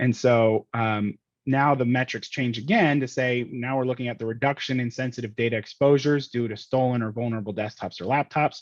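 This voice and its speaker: This man's voice sits at a medium pitch with fairly even intonation. He talks fairly quickly, with hardly any pauses. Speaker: cybersecurity professional giving a talk. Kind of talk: lecture. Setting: university talk with audience. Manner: fast; frequent fillers (um).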